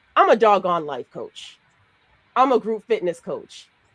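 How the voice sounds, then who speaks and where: With a New York accent, a woman speaks at a moderate pace and a fairly high pitch. The sound is dry and close, with no echo. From Brooklyn, New York. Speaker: podcast co-host and life coach. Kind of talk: casual discussion.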